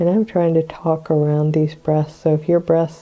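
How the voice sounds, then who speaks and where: A guttural woman's voice, very deep and low in pitch, at a moderate pace with monotone, flat intonation. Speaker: psychic medium and meditation guide. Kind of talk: guided meditation.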